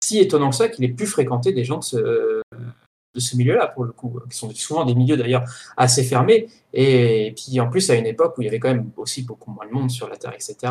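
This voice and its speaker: A somewhat breathy man speaks at a medium pitch and a fairly quick pace, with ordinary pitch variation. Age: 20s. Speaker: podcast host and film studies graduate. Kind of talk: casual chat.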